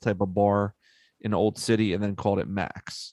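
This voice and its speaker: The sound is dry and close, with no echo. A man with a Philadelphia accent talks at a fairly slow pace. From US, Philadelphia. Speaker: podcast host. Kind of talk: casual chat.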